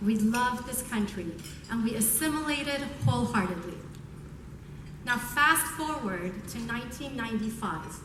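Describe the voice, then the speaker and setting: A woman with a fairly high pitch and lively intonation speaks at a moderate pace with long, frequent pauses, amid noticeable background noise and audible room echo. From Iran, raised in US from about age 11. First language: Persian. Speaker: prosecutor. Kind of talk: award acceptance speech. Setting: stage with audience.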